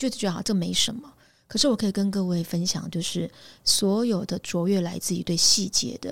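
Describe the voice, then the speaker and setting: A woman speaks at medium pitch and a moderate pace in a normal speaking voice. The recording is very clean with a silent background. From Taiwan, Pingtung. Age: 50s. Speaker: headhunting firm founder. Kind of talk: interview.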